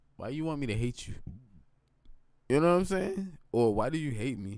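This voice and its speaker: Male speech ringing with audible room echo, its pitch swinging very widely. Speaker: gaming and tech streamer. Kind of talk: casual live stream talk. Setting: live stream on computer. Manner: conversational, repetitive with filler.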